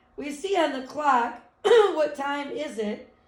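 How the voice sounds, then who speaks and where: A woman speaks, and the room echo is audible. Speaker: elementary school teacher. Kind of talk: remote math lesson for children. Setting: live video lesson.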